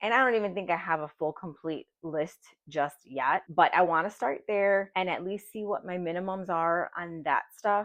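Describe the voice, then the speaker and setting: With a normal speaking voice, a woman talks at a fairly low pitch and moderate pace, with ordinary pitch variation and hardly any pauses. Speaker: personal finance vlogger. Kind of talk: personal vlog confession.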